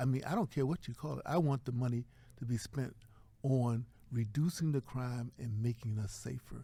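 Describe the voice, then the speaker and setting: Speaking with an American accent, a man has a dark, mellow tone that is somewhat breathy. His pitch is medium with ordinary variation, and his pace is moderate. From Virginia, US South. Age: 70s. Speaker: professor and chaplain. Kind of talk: interview.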